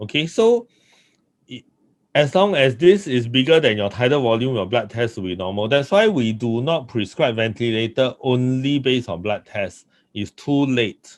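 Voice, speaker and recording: At a moderate pace, a man with a medium pitch speaks with lively intonation. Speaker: doctor. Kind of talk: lecture. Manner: loud.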